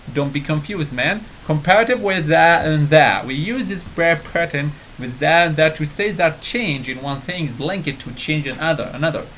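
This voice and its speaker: With an Arabic accent, a man speaks at a moderate pace in a fairly high pitch with ordinary pitch variation. Noticeable background noise can be heard. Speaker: English teacher on video channel. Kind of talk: tutorial. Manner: halting, many fillers and repeats.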